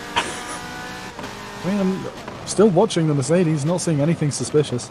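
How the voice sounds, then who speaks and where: Noticeable background noise runs beneath speech delivered at a fairly quick pace. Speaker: sim racing stream commentator. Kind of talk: live commentary. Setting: live stream.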